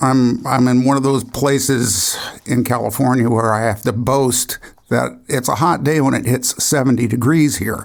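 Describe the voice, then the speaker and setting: A man speaks at a moderate pace with a medium pitch and vocal fry. His intonation is fairly even and his loudness very even. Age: 60s. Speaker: podcast host. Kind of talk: interview; scripted intro.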